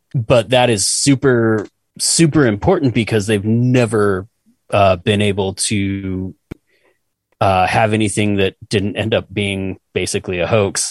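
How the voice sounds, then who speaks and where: An ordinary speaking voice from a man with an American accent, fairly low pitch, ordinary pitch variation and a fairly slow pace, in a dry, close sound with no echo. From Utah. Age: 40s. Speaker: podcast co-host. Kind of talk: casual chat.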